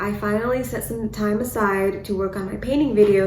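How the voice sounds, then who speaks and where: A woman of medium pitch with ordinary pitch variation, audible room echo and noticeable background noise. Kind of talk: casual vlog update. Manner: stutters, hesitant.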